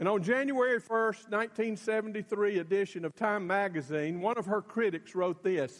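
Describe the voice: The reading aloud is plain, and its pitch varies in an ordinary way.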